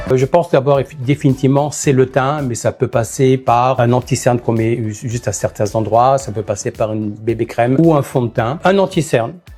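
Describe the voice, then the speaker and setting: Over music in the background, a man talks at a moderate pace with hardly any pauses, his medium pitch showing ordinary variation. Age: 60s. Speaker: makeup artist. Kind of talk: interview monologue.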